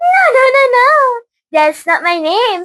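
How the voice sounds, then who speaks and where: Using a put-on character voice, a woman speaks fairly slowly in an extremely high, squeaky pitch. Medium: read story.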